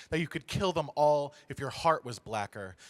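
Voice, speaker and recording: Music in the background behind a man speaking with ordinary pitch variation. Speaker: spoken word poet. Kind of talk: spoken word poetry performance. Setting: live stage show.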